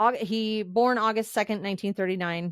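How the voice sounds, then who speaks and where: Her tone is animated, and a woman talks at a moderate pace with ordinary pitch variation. The sound is dry and close, without echo. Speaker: podcast host. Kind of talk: casual solo podcast commentary.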